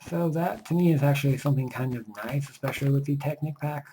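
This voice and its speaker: A quiet man at a medium pitch, with fairly even intonation. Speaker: gaming let's play commentator. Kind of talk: casual gameplay commentary. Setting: home recording at night. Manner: quiet, subdued volume.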